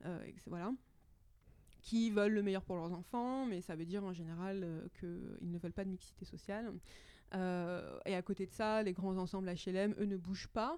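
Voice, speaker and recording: Her tone dark and mellow, a woman speaks with fairly even intonation and long, frequent pauses. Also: medium pitch for a woman, moderate pace, very clean recording, silent background. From Paris suburbs, France (Hauts-de-Seine). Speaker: astrophysicist. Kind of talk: interview.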